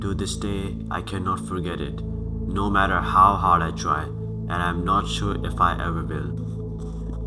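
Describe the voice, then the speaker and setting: Noticeable background noise is present throughout. Over it, a man is talking. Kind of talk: scripted horror story narration. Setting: low-quality microphone. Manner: occasional stutters.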